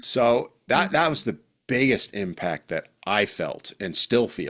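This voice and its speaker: A man's medium-pitched voice with vocal fry, on a very clean recording against a silent background. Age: 60s. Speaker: parental alienation survivor. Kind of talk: interview answer.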